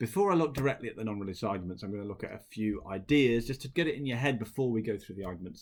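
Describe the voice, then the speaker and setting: A man with a British accent talks at a very fast pace in a medium pitch. The recording is very clean, with a silent background. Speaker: teacher. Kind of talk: lecture.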